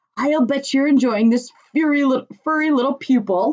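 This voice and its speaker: A woman puts on a character voice at a high pitch. She keeps a moderate pace and very even loudness. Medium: read story.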